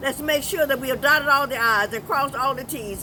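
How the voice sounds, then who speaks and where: Against crowd noise in the background, a woman with an American accent talks at a high pitch with lively intonation. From US South, Georgia. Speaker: civil rights pioneer, evangelist. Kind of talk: interview.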